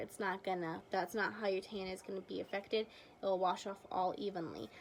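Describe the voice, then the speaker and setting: With an ordinary speaking voice, a woman talks at a fairly quick pace and a medium pitch. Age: 20s. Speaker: beauty vlogger. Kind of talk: casual product review to camera.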